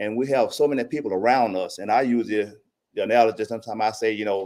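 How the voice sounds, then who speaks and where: A man with a Mississippi accent at medium pitch, very fast pace and fairly even intonation, on a very clean recording with a silent background. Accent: Southern US (Mississippi). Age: 70s. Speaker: public commenter. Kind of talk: public comment at city budget hearing. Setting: city council meeting.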